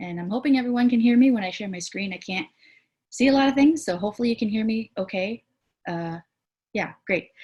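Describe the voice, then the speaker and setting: A somewhat breathy woman's voice with ordinary pitch variation against a quiet background. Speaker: community organization director and presenter. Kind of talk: online presentation.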